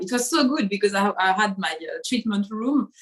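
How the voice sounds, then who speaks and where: A woman speaks with a French accent at a moderate pace. Her pitch is medium, with ordinary variation. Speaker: acupuncturist. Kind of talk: interview conversation.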